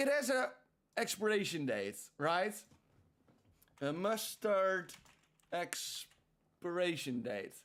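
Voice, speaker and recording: In a Dutch accent, a man speaks at a high pitch with very wide pitch swings. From Netherlands. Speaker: streamer. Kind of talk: casual chat. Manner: animated.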